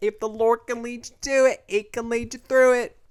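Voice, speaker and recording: This is a put-on character voice in a Southern US accent, pitched fairly high. It moves at a moderate pace. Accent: Southern American. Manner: sweet, warm.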